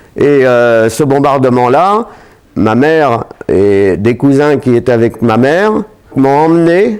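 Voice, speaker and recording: Through noticeable background noise, a man with a fairly high pitch and lively intonation speaks at a very slow pace. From France, Seine-et-Marne (east of Paris). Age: 80s+. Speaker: war veterans association president. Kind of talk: testimony. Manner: hesitant, frequent fillers.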